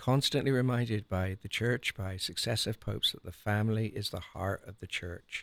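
Speaking at a fairly quick pace with an English accent, a man with a fairly low pitch and ordinary pitch variation is heard on a very clean recording with a silent background. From Cornwall, southwest England. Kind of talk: radio interview. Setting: studio.

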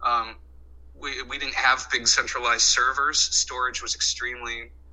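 The pace is moderate. A man talks over noticeable background noise. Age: 40s. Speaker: reality TV editor. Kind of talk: interview. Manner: halting.

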